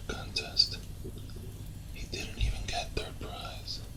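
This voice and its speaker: Someone whispers at a fairly slow pace in a gentle, relaxed tone, with noticeable background noise behind them. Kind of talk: whispered ASMR campfire storytelling. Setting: close-mic with fire crackling in background. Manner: whispered, gentle, relaxed.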